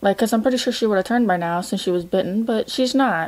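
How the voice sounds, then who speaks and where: A woman speaks with ordinary pitch variation. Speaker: reaction video host. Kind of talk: casual reaction commentary. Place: home room. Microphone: webcam.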